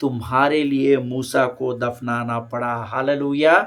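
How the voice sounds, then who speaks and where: A man speaks at a very slow pace. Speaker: pastor. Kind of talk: sermon.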